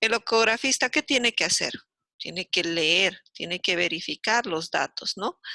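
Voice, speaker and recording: With lively intonation, a woman speaks at a medium pitch and a fairly slow pace. Her tone is bright and sharp, and the sound is dry and close with no echo. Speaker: university lecturer. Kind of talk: lecture. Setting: video call. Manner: animated.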